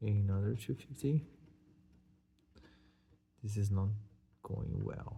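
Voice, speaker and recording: A man speaks at a fairly slow pace, leaving long, frequent pauses. His fairly low voice is dark, mellow and somewhat breathy, with ordinary pitch variation. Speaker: scratch-off lottery video host. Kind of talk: casual talk to camera.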